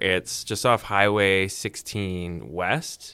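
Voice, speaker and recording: The recording is very clean, with a silent background. A man with a western Canadian accent speaks in a bright, sharp tone. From Vancouver, British Columbia, Canada. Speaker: radio host. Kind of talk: casual chat.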